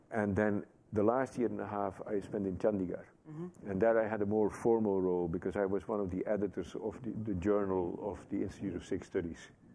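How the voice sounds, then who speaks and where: A man speaks quickly-ish with a Dutch accent and fairly even intonation. His pitch is fairly low, with light background noise behind him. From Netherlands. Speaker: Sikh activist and former chaplain. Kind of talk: interview answer. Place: studio.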